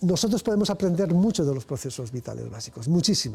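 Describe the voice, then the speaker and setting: Very wide pitch swings across a man's dark, mellow tone. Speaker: physics researcher and professor. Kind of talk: interview. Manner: halting, repetitions.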